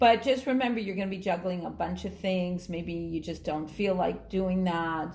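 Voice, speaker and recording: Speaking at a moderate pace with hardly any pauses, a woman at medium pitch uses ordinary pitch variation, with audible room echo. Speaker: astrologer and tarot reader. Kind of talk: tarot reading video. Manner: animated.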